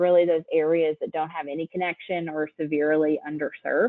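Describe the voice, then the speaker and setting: A woman speaks in an East Tennessee accent. Her pitch is fairly low. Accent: Southern US (East Tennessee). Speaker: state broadband director. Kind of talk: presentation. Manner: frequent ums, casual.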